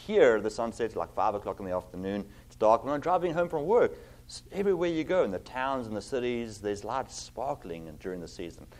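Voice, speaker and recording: With a South African accent, a man speaks at a fairly quick pace, his pitch swinging very widely and his loudness rising and falling in big swings. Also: medium pitch for a man. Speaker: pastor. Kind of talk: sermon. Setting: church.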